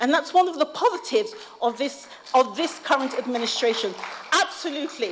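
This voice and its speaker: A woman speaks at a high pitch with very wide pitch swings, over noticeable background noise. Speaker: policy advisor and academic speaker. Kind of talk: conference speech. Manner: fast.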